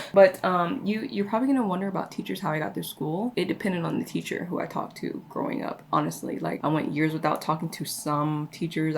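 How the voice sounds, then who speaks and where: A woman talks fairly quickly in a fairly low voice, with noticeable background noise behind her. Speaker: beauty vlogger. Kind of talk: casual chat. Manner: halting.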